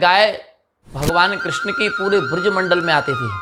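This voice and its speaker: A man speaks in a Braj accent with a high pitch and ordinary pitch variation. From Braj region, India. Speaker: religious storyteller. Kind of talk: devotional storytelling talk.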